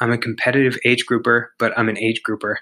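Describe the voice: Speaking at a medium pitch, a man has a bright, sharp tone.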